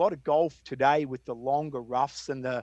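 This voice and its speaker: A man with an Australian accent talks in a fairly high voice with fairly even intonation, the sound dry and close with no echo. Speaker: golf course designer. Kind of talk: interview conversation.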